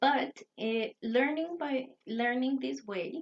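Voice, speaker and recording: Very slow speech in a Spanish accent, with ordinary pitch variation and a dry, close sound with no echo. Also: woman. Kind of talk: talk to camera lecture. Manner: halting, self-correcting.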